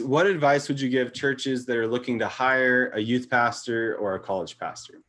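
Medium pitch and a moderate pace from a man, in a plain, everyday voice. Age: 30s. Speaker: podcast co-host, ministry director. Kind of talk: casual interview.

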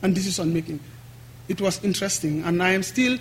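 A man with a high pitch rattles along at a very fast pace, his pitch varying in an ordinary way. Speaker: activist and NGO director. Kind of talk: public lecture. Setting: lecture hall with audience.

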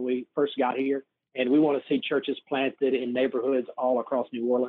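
Speaking fairly quickly with a Southern US accent, a man uses a fairly high pitch. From US South, north Mississippi near Memphis. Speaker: missionary and church planter coach. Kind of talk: interview.

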